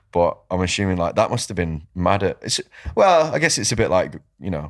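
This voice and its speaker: In a very clean recording with a silent background, a man with a Mancunian accent talks in an animated tone at a fairly quick pace. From northern England, Manchester. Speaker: podcast host, fitness coach. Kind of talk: casual chat.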